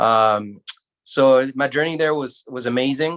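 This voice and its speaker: A man talks with a French accent. His pitch sits in the medium range, and his intonation is fairly even. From Guinea, West Africa. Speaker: surgeon, medical school alumnus. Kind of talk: panel discussion. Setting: livestream.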